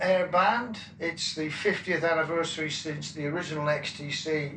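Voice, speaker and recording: With audible room echo and noticeable background noise, a man with a Wiltshire accent talks at a fairly high pitch with fairly even intonation. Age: 70s. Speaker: rock drummer. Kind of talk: interview. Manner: halting, many fillers.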